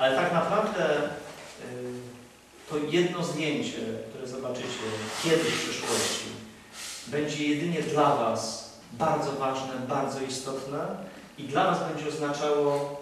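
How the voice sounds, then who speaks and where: A man speaks fairly slowly, with long, frequent pauses and ordinary pitch variation. Strong room echo and light background noise fill the recording. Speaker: priest. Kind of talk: sermon. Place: church.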